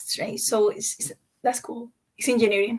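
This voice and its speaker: A woman is speaking. Her pitch is fairly high. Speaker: chemical engineer. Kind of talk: career panel talk.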